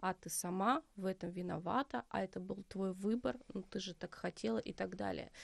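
A woman's medium-pitched voice with vocal fry, at a moderate pace with hardly any pauses, dry and close with no echo. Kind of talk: interview conversation. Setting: studio.

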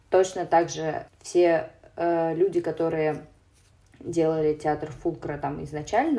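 Fairly low, dark and mellow tone from a woman. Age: 20s. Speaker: theatre producer. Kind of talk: casual chat.

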